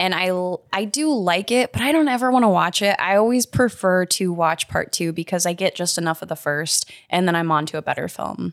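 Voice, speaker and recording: In a normal speaking voice, someone talks at a fairly quick pace with lively intonation, and the sound is dry and close with no echo. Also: woman, medium pitch for a woman. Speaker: podcast co-host. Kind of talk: casual chat.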